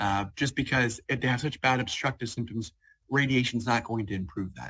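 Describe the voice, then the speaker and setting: In an American accent, a man speaks with a bright, sharp tone and ordinary pitch variation. The recording is very clean, with a silent background. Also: medium pitch for a man, fairly quick pace. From Ohio (Cincinnati), US Midwest. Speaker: radiation oncologist. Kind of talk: presentation with Q&A. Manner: fast; hesitant, many fillers.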